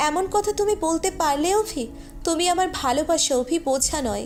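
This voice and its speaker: A put-on character voice, extremely high and shaky, speaks at a moderate pace. Clear background noise runs underneath. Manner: trembling, hurt.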